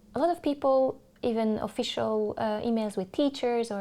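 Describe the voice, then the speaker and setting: In a very clean recording with a silent background, a woman speaks with a Hungarian accent at a fairly slow pace. Her fairly high voice has a dark, mellow tone and ordinary pitch variation. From Hungary, Budapest. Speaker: English teacher. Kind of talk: interview. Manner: hesitant, many fillers.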